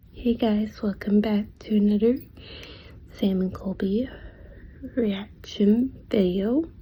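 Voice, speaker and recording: Quiet and somewhat breathy, a woman with a fairly high pitch and a dark, mellow tone speaks at a very slow pace with fairly even intonation and long, frequent pauses. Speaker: reaction video creator. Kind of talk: casual chat.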